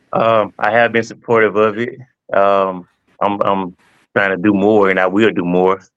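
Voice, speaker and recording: A man's voice in a Southern US accent, flat and monotone, with very even loudness. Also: fairly low pitch for a man, moderate pace. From Mississippi. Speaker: teacher and coach. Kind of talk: testimony.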